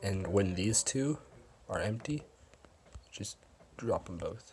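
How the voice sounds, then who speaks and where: Over music in the background, a man talks at a fairly slow pace with a fairly low pitch. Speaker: gaming tutorial youtuber. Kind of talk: tutorial.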